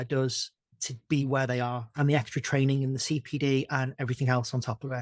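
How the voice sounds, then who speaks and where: Recorded very clean with a silent background and a dry, close sound with no echo, a man with a Liverpool accent talks at a very fast pace. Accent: Scouse. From Liverpool, England. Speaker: veterinary nurse. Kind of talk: podcast interview. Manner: animated.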